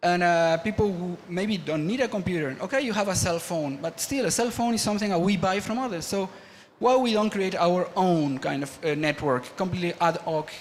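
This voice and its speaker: Pitched high for a man, his voice shifts in pitch in the usual way as he talks fairly quickly. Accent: Spanish. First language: Spanish. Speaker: media artist and engineer, panel speaker. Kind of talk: conference talk. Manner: halting, many false starts and fillers.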